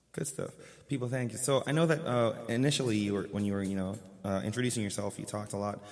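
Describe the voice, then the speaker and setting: Over music in the background, a man speaks with a fairly low pitch and ordinary pitch variation. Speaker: radio host. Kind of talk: casual chat.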